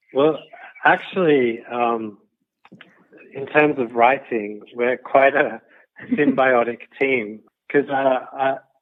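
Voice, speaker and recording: Speaking very slowly in an Australian accent, the voice shows ordinary pitch variation and long, frequent pauses. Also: man, medium pitch for a man. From Australia, Sydney. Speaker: guidebook co-author and photographer. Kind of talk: interview. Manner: halting, repeats words.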